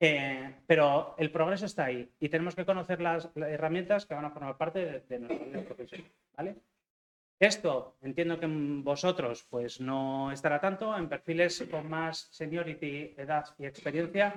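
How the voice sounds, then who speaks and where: Pitch varies in an ordinary way, and the pace stays moderate. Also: man, fairly high pitch for a man. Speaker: software engineering manager. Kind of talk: talk to university students. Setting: lecture hall with audience. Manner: hesitant, many fillers.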